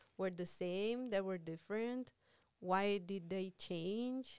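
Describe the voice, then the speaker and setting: A woman speaks in an unremarkable speaking voice at a medium pitch. Her pace is fairly slow, and her pitch varies in an ordinary way. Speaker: Spanish professor and translation specialist. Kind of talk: casual interview chat.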